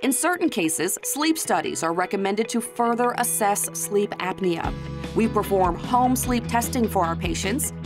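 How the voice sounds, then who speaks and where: Music plays in the background. A woman speaks with very even loudness. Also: moderate pace. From New Orleans. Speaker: narrator. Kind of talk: corporate narration.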